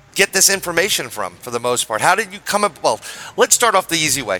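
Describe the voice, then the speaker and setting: Noticeable background noise sits behind a man whose intonation is lively. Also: dry, close sound with no echo. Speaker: podcast co-host. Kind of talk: casual interview chat. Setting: remote call with connection problems.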